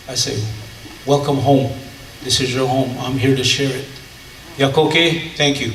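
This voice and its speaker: Amid noticeable background noise and audible room echo, a man speaks in a flat monotone, with long, frequent pauses. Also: medium pitch for a man, fairly slow pace. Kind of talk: panel talk.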